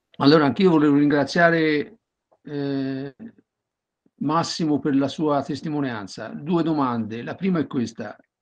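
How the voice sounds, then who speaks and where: With an ordinary speaking voice, a man speaks at a moderate pace and a fairly high pitch, with ordinary pitch variation against a quiet background. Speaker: audience member asking questions; audience member. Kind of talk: Q&A question. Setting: video call. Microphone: video call.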